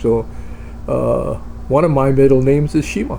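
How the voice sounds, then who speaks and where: There is noticeable background noise. A man speaks with a Hawaiian accent. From Hawaii (Oahu). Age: 70s. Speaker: video blogger. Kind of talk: casual monologue. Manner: hesitant, many fillers.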